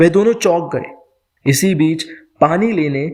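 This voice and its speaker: Fairly high in pitch, this man has an unremarkable speaking voice with lively intonation. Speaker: storyteller. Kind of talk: podcast story narration.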